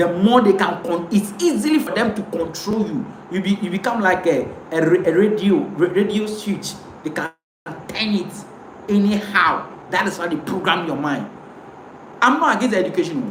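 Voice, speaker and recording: Noticeable background noise and audible room echo around a man with a high pitch. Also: ordinary pitch variation, moderate pace. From Ghana, Ewe speaker. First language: Ewe. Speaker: pan-African commentator. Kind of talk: live stream monologue. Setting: live video stream to camera. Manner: impassioned, repetitive.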